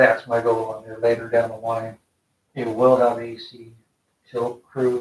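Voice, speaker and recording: Flat and monotone, the voice is somewhat breathy, with big swings in loudness and long, frequent pauses. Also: man, medium pitch for a man. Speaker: mechanic restoring trucks. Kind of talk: casual project update. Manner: fast.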